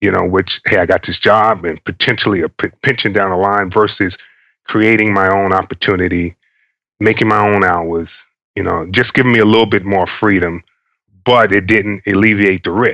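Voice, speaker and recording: Speaking fairly quickly with an American accent, a man has a fairly low pitch, fairly even intonation and a bright, sharp tone. The sound is dry and close with no echo, against a quiet background. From New York. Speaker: army veteran, entrepreneur. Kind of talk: interview answer.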